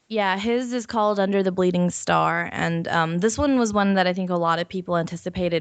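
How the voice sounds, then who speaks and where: At a fairly quick pace, a woman talks with lively intonation and a fairly low pitch. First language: not English. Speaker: podcast host. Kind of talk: casual chat. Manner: hesitant, many fillers.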